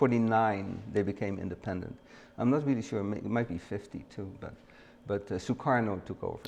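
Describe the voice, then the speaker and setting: A man speaks with a Dutch accent at a fairly quick pace. His pitch is fairly low, with ordinary variation. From Netherlands, The Hague. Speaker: retired photographer and studio owner. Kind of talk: casual interview. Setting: studio. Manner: halting.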